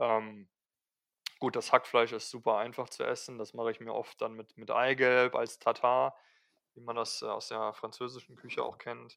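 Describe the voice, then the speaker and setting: Recorded very cleanly against a silent background, a man speaks at a moderate pace. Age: 20s. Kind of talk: casual interview. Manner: hesitant, many fillers.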